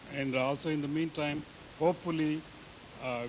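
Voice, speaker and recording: A man speaks with a Telugu accent. His intonation stays fairly even. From India, Andhra Pradesh. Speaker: conference presenter. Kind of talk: conference talk.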